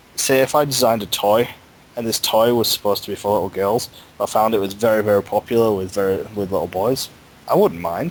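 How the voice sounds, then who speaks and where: A man with a Yorkshire accent at a very fast pace, fairly low in pitch, with ordinary pitch variation. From Yorkshire, northern England. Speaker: fan discussing fandom. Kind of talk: casual chat.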